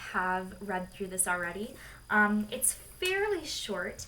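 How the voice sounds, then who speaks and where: A woman with a fairly high voice talks over audible room echo. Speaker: tarot deck reviewer. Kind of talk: product review.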